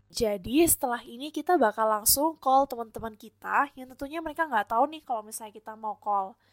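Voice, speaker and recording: A high-pitched woman's voice in a strong Surabaya accent, very fast, with ordinary pitch variation and big swings in loudness, on a very clean recording with a silent background. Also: hardly any pauses. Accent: strong Surabaya (medok). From Indonesia, Surabaya (East Java). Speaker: student podcast co-host. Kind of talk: casual chat.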